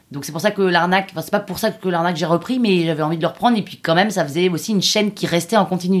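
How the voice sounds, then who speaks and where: A woman's fairly low voice at a very fast pace, animated in tone, with ordinary pitch variation. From Paris, France. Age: 30s. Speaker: podcast creator. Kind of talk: interview.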